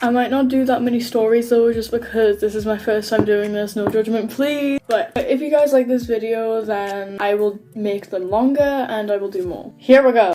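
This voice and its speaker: Speaking at a moderate pace, a woman with a fairly high pitch keeps her intonation fairly even over noticeable background noise. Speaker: YouTuber reading Reddit stories. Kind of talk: casual reading of online stories to camera.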